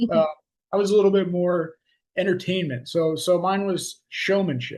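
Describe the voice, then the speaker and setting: Man with a high pitch and an American accent, moderate pace, fairly even intonation. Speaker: podcast host and coach. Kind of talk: casual podcast chat. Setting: video call. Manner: high energy.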